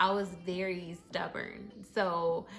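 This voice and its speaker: A woman speaks with music in the background. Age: 30s. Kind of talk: casual story time talk to camera. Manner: casual, conversational, with many fillers.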